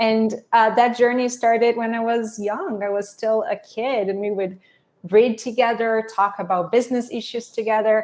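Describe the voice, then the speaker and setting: A woman's fairly high-pitched voice in a Portuguese accent, at a moderate pace with fairly even intonation. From Brazil, Sao Paulo. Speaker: business executive, alumna. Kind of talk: interview. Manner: casual, conversational.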